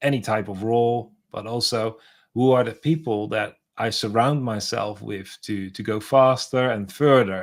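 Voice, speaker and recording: At a moderate pace, a man talks at a medium pitch with fairly even intonation. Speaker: podcast host. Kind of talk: interview conversation. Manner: halting, repeats words.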